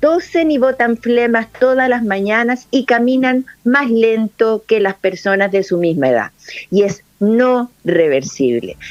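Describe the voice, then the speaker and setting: A woman with a fairly high voice speaks at a very slow pace. Her intonation is lively, and her loudness stays very even. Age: 60s. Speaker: lung specialist doctor. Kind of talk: interview.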